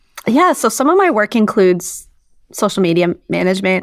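On a very clean recording with a silent background, a woman with an American accent talks at a moderate pace in an unremarkable speaking voice of medium pitch. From Idaho. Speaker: sports journalist and podcaster. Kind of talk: casual interview chat.

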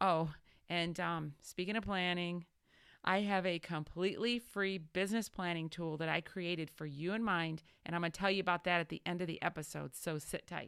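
In a very clean recording with a silent background, a woman speaks at a moderate pace with a fairly low pitch. Her intonation is fairly even, and it is a plain, everyday voice. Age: 40s. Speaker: business coach and podcast host. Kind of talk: solo podcast monologue. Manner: warm, encouraging.

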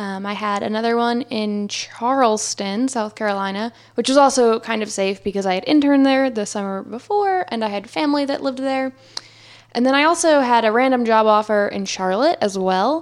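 Speaking with an American accent, this voice goes at a fairly quick pace and shows ordinary pitch variation. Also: woman, fairly high pitch for a woman. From New Jersey. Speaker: podcast guest. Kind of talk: casual chat.

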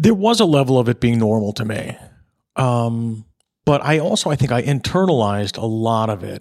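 A man with an American accent and an ordinary speaking voice talks at medium pitch and a moderate pace. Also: ordinary pitch variation. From New York. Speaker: retired police detective and actor. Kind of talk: casual chat. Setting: in-person conversation.

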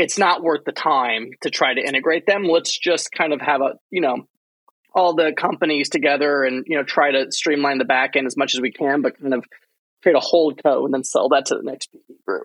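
With an unremarkable speaking voice, a man talks at a moderate pace in a fairly high pitch, his pitch varying in an ordinary way, the sound dry and close with no echo. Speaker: podcast host and investor. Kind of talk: interview conversation.

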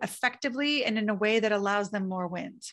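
A woman speaks with a fairly high pitch. It is an ordinary speaking voice with ordinary pitch variation. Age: 40s. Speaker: trial attorney and keynote speaker. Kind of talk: casual interview conversation.

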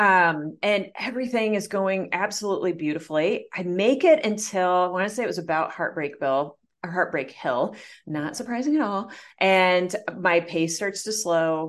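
A woman with an American accent uses an ordinary speaking voice at medium pitch. Her intonation is lively, her pace moderate, and the background quiet. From US Midwest. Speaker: coach and entrepreneur, marathon runner. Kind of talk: interview, personal story.

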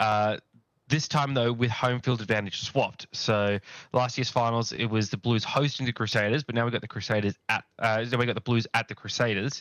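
A man speaks at a fairly quick pace with a medium pitch. His intonation stays fairly even. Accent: Australian. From Australia. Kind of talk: casual chat.

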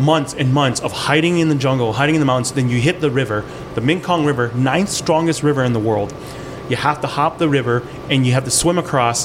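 A man with a fairly high pitch speaks at a very even loudness, leaving long, frequent pauses over noticeable background noise. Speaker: chef. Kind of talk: casual chat.

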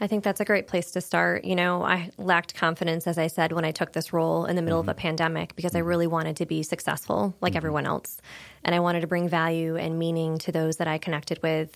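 A woman with an American accent talks at a very fast pace, barely pausing, her loudness very even and her intonation fairly level. The recording is very clean, with a silent background. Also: fairly low pitch for a woman. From small-town Pennsylvania near New York border. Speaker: credit union market development manager. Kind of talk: interview conversation.

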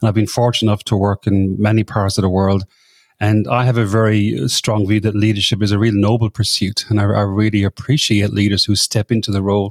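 The speaker has a slight Irish accent and a fairly quick pace. Intonation is fairly even, and the sound is dry and close with no echo. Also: man, fairly low pitch for a man. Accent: Irish, slight after decades in Australia. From Ireland. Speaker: podcaster and leadership coach. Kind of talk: casual interview chat.

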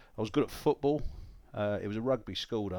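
A man speaks with a southern English accent and ordinary pitch variation. The recording is very clean, with a silent background. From South East London. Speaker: radio broadcaster and poet. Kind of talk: interview conversation.

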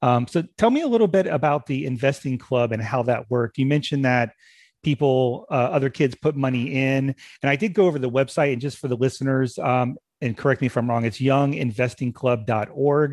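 A plain, everyday voice at a fairly quick pace against a quiet background. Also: man, medium pitch for a man, ordinary pitch variation. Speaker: podcast host. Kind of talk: casual interview conversation.

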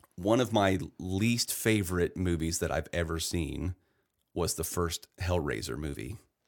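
A man talks with a very deep, low pitch and some vocal fry. His pitch varies in an ordinary way, and the recording is very clean with a silent background. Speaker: podcast co-host, husband and father. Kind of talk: casual chat.

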